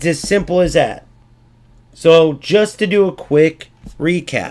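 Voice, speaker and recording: A man talks at a very slow pace. His voice is high in pitch, with ordinary pitch variation. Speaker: gaming streamer. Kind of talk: tutorial.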